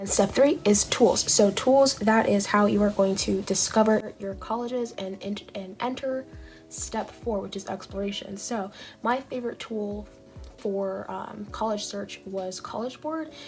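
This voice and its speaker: Music plays behind a woman with a Californian accent speaking at a fairly slow pace. Her pitch is medium with ordinary variation, and her loudness swings widely. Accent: Californian American English. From Long Beach, California. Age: young. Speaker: YouTuber giving college admissions advice. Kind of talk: casual talk to camera.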